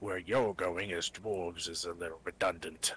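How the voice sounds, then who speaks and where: In a put-on character voice, a man talks raspily at a moderate pace. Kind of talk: dry corporate briefing. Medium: actual play. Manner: dry, matter-of-fact, faintly condescending.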